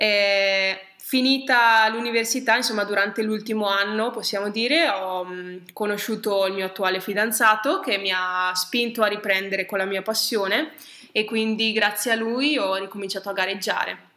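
Fairly even intonation and a moderate pace in a normal speaking voice. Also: woman, medium pitch for a woman. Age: 20s. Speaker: triathlete and nurse. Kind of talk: casual interview. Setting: at the guest's home.

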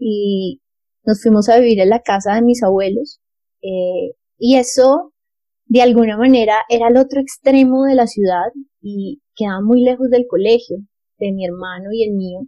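In a Bogotá accent, a woman with a fairly high pitch and a dark, mellow tone speaks at a fairly slow pace with ordinary pitch variation. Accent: Bogotá Colombian Spanish. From Colombia, Bogotá. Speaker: lawyer and social entrepreneur. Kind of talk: interview.

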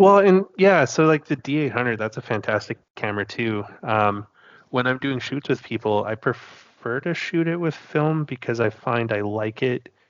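A man with a Canadian accent, medium pitch, lively intonation and moderate pace, a normal speaking voice. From Western Canada, Kootenays (British Columbia). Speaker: film photographer. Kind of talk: casual chat.

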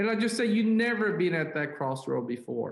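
A high-pitched man at a fairly quick pace, lively intonation and audible room echo. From South Korea. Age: 40s. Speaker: business leader and pastor. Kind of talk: interview. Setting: call.

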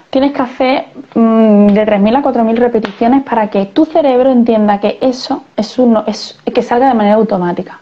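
Against noticeable background noise, a woman with a fairly high pitch talks at a moderate pace, her loudness very even and her pitch variation ordinary. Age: 30s. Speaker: physiotherapist and CrossFit coach. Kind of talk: interview conversation. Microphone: poor audio in parts.

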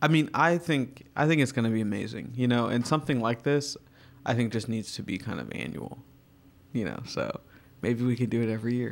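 Speaking fairly quickly, a man uses a medium pitch with ordinary pitch variation. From Virginia, US. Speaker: artist. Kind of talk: casual chat.

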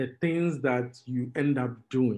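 A man speaks with a Ghanaian accent. His pitch varies in an ordinary way. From Ghana, Tema. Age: 20s. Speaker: fintech entrepreneur. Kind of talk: interview.

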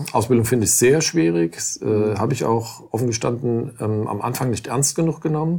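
At a moderate pace with hardly any pauses, a man speaks at a medium pitch in a dark, mellow, somewhat breathy tone with lively intonation. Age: 50s. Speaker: lawyer. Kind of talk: interview. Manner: halting.

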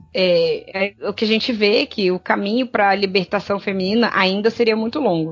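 With music in the background, a woman talks at a fairly quick pace and medium pitch, with hardly any pauses and fairly even intonation. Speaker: podcast co-host. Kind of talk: reading research notes aloud; casual chat.

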